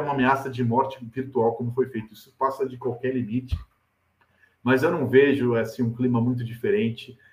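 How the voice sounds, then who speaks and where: At a fairly quick pace, a man speaks in a somewhat breathy voice of medium pitch. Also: big swings in loudness. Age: 40s. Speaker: football journalist and pundit. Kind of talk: casual chat. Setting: video call. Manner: animated.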